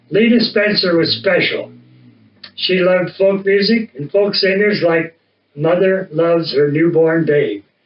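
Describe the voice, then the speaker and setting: This man's voice sits high in pitch for a man. He speaks at a fairly slow pace. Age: 80s+. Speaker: folk singer and storyteller. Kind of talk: casual chat; reading aloud.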